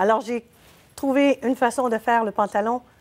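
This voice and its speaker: This woman's voice sits at a fairly high pitch. Her pitch variation is ordinary. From Quebec. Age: 60s. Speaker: clothing business owner; guest. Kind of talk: TV interview. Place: studio.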